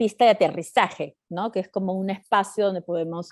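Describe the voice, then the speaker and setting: A woman talks at a medium pitch. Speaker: leadership trainer and coach. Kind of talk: webinar lecture. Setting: online training session. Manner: fast; halting, many fillers and restarts.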